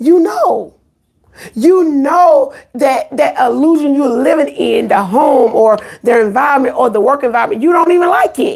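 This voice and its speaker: A woman speaks at a moderate pace in a high voice, her intonation lively and her loudness very even. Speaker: faith-based live streamer. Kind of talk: live stream talk to viewers. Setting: live stream. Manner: repetitive, halting.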